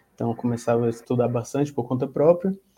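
A dark, mellow tone at a fairly quick pace with fairly even intonation. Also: man. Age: 20s. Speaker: sales representative. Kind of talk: casual chat.

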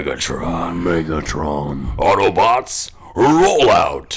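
A man's put-on character voice, raspy and guttural, very deep and low in pitch, at a very slow pace over light background noise

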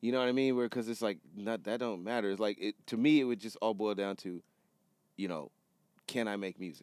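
On a very clean recording with a silent background, a man with an ordinary speaking voice talks at a fairly quick pace, his fairly low pitch showing ordinary variation. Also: dry, close sound with no echo. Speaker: music producer and photographer, podcast co-host. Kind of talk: casual chat. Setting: studio.

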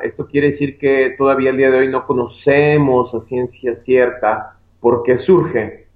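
A man speaks in a Mexican accent at a fairly slow pace. His medium-pitched voice is flat and monotone. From Mexico, Guadalajara. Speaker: physician. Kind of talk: interview.

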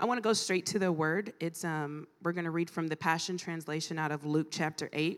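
A woman with an American accent speaks at a fairly quick pace, hardly pausing, in an unremarkable speaking voice. Her pitch is fairly low and her intonation fairly even. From Ohio, US Midwest. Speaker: guest preacher. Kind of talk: sermon. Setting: church conference with audience.

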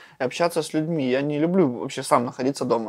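A man with a plain, everyday voice speaks in a fairly high pitch with ordinary pitch variation. He talks at a fairly quick pace against a quiet background. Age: young. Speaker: local youth activist. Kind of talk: casual chat. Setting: school building.

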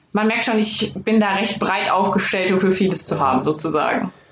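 Against noticeable background noise and audible room echo, a woman speaks with fairly even intonation. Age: 20s. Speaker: sports scientist doing movement diagnostics. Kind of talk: interview.

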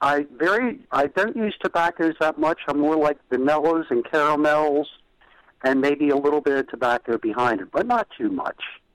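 Recorded dry and close with no echo, a man talks in an unremarkable speaking voice. His pitch is fairly high, his intonation lively and his pace moderate. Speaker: caller. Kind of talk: casual chat. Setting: phone call.

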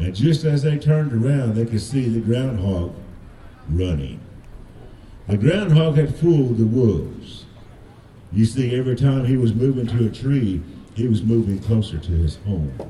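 Lively intonation carries the speech at a moderate pace, broken by long, frequent pauses over noticeable background noise. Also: man, medium pitch for a man. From Cherokee. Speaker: storyteller. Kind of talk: storytelling.

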